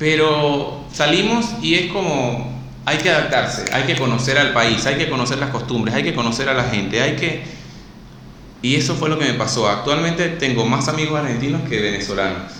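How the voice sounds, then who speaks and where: Amid noticeable background noise and audible room echo, a man with a fairly high pitch speaks at a moderate pace with lively intonation and very even loudness. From Venezuela, Maturín. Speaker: actor. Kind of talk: casual chat.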